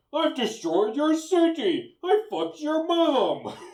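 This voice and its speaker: At a fairly slow pace, a put-on character voice speaks in a high pitch. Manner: menacing.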